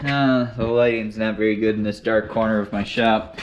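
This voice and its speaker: A man with an American accent talks while noticeable background noise carries on. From Western Michigan. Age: 20s. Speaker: welder and equipment reviewer. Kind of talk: tutorial. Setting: workshop. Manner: casual, hesitant with fillers.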